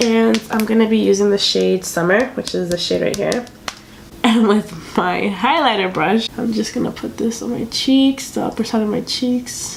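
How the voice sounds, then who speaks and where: A woman's pitch rises and falls in a normal way while clear noise runs in the background. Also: moderate pace. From Dominican Republic, raised in US from age six. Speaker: beauty YouTuber. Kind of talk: casual chat makeup tutorial. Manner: casual, filler-heavy.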